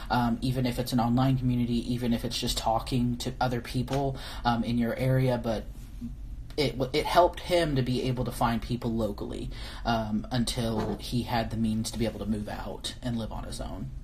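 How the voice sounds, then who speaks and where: A woman talks at a fairly quick pace. Room echo is audible around her voice. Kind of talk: live-stream viewer Q&A. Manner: halting, many fillers and restarts.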